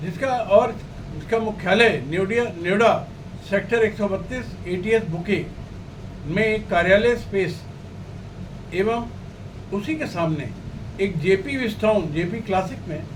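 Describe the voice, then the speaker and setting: A man's high-pitched voice, with audible room echo and noticeable background noise. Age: 70s. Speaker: lawyer and party leader. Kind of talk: video address to the public. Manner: halting, self-correcting.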